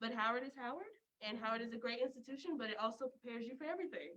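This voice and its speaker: The voice has an American accent and lively intonation. It is an ordinary speaking voice. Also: woman. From US South, Memphis, Tennessee. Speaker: student. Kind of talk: casual chat.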